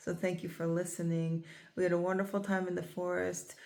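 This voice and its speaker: A woman's fairly low, monotone voice at a moderate pace, flat in intonation, with audible room echo. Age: 40s. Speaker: nature therapist and vlogger. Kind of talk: casual vlog talk to camera.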